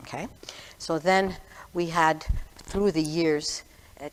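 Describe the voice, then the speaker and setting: With a Quebec accent, a woman speaks in a very deep, low pitch at a very slow pace. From Quebec, Montreal. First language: French. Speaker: retired history teacher. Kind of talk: talk to a congregation. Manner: halting.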